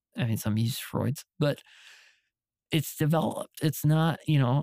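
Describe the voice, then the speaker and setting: With a dry, close sound and no echo, a man speaks at a moderate pace in a dark, mellow tone, his fairly high pitch varying in an ordinary way. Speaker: videographer. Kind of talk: casual chat.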